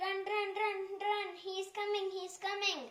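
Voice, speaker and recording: A woman performs a cartoonish character voice, squeaky and at an extremely high pitch. She speaks at a fairly slow pace. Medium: puppet show. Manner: excited, repetitive.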